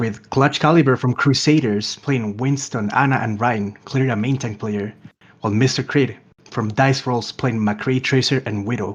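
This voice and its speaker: A man with a Spanish accent at a moderate pace, fairly even in intonation, against a quiet background. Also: medium pitch for a man. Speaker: esports commentator. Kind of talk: live commentary.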